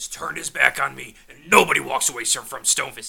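A man rattles off lines very fast in a raspy, put-on character voice. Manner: nervous, apologetic, servile.

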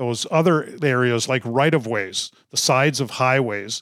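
The speaker is a man. The sound is dry and close with no echo, on a very clean recording with a silent background. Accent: Upper Midwest. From northern Minnesota, Duluth. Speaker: conservation nonprofit CEO. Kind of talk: interview.

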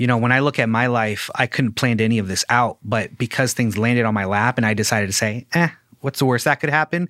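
In a very clean recording with a silent background, a man with a Midwestern accent talks very fast. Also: medium pitch for a man, ordinary pitch variation, dry, close sound with no echo. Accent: general American, Midwestern. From Ciudad Juarez, Mexico, raised Fort Wayne, Indiana. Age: 30s. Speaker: graphic designer and podcaster. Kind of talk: casual interview.

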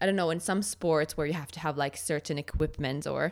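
In a very clean recording with a silent background, a woman with a very deep, low pitch and vocal fry talks at a fairly quick pace. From Finland. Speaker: eating disorder recovery podcaster. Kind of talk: interview about personal experience.

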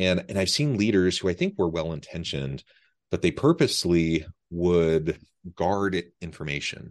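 With an American accent, a man speaks at a very deep, low pitch and a moderate pace. His pitch varies in an ordinary way against a quiet background. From Utah. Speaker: podcast host. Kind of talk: interview conversation. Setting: remote call.

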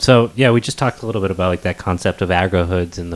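A man's very deep, low voice over noticeable background noise. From New England. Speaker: podcast host. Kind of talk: casual chat. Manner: casual, profane.

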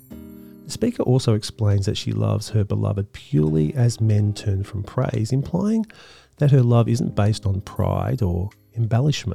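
With music in the background, a man of fairly low pitch talks at a moderate pace with ordinary pitch variation. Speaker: podcast host. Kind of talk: poetry analysis podcast narration.

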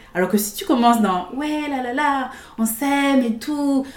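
A woman's pitch moves in a typical way while noticeable noise runs in the background. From Guadeloupe. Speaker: theatre and improv enthusiast. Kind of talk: casual chat.

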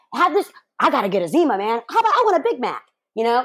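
A woman talks at a very fast pace in an American accent. Her pitch swings very widely. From US South. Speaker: morning show host, podcast guest. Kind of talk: casual chat.

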